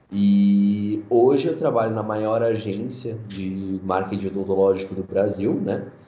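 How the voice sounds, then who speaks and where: Over background music and with audible room echo, a man with a fairly low voice talks at a fairly slow pace, his intonation fairly even and his pauses few. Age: 20s. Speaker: digital marketing specialist. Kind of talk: casual interview.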